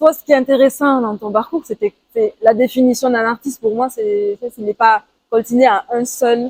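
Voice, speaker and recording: A woman speaks at a high pitch with fairly even intonation in a dry, close sound with no echo. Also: moderate pace. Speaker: artist podcast host, musician. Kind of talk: casual interview. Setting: outdoors, walking in Toulouse.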